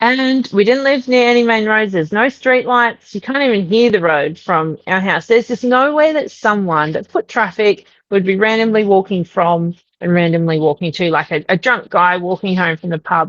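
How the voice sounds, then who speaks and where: The speaker talks at a moderate pace in an Australian accent, with lively intonation and hardly any pauses. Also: woman, medium pitch for a woman. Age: 40s. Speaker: podcast guest sharing a paranormal experience. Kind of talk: interview testimony.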